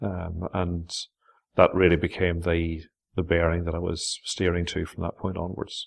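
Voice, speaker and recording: A man with a Northern Irish accent speaks at a very deep, low pitch and a fairly quick pace. The recording is very clean, with a silent background. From Northern Ireland. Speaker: pastor. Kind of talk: interview answer.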